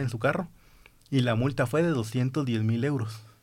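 In a very clean recording with a silent background, a man with a plain, everyday voice speaks at a medium pitch with fairly even intonation. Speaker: podcast host. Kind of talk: casual chat.

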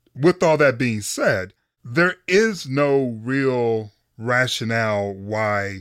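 An unremarkable speaking voice: a man with an American accent, medium pitch and ordinary pitch variation. The sound is dry and close with no echo, on a very clean recording with a silent background. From Michigan, Detroit. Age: 40s. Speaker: sports columnist and podcast co-host. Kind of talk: casual interview chat.

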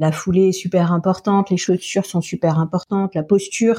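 A somewhat breathy woman speaks with fairly even intonation in a dry, close sound with no echo. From France, Alsace. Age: 40s. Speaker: naturopath and nutritionist. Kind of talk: interview.

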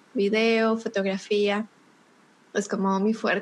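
A woman in a Bogotá accent, monotone and flat in intonation, at a very slow pace. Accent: Bogotá Colombian. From Colombia, Bogotá. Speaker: digital marketing consultant. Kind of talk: podcast interview.

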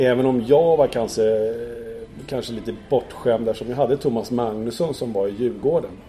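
At a moderate pace, a man talks in a medium pitch. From Stockholm, Sweden. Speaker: former ice hockey goalkeeper and TV goalie expert. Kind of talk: casual interview. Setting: hotel room. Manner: hesitant, many fillers.

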